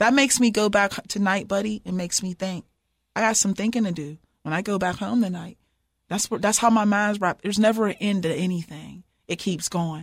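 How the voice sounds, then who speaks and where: A woman with an American accent talks at a fairly quick pace with a medium pitch. Her voice is somewhat breathy, on a very clean recording with a silent background. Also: ordinary pitch variation. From Pittsburgh, Pennsylvania, US. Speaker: professor and former basketball coach. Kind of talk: interview. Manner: animated.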